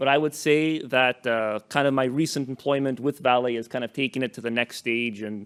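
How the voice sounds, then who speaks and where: This man talks at a fairly quick pace. His intonation is fairly even. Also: dry, close sound with no echo, very clean recording, silent background. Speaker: mining ventilation engineer at a conference. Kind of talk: conference presentation. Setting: conference room with audience, microphone.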